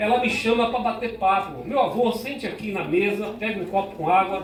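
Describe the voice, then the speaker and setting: A man speaks at a moderate pace with a high pitch and ordinary pitch variation. The room echoes audibly, and background noise is noticeable. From Bahia, Brazil. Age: 60s. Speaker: pastor. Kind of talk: talk to school students. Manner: animated.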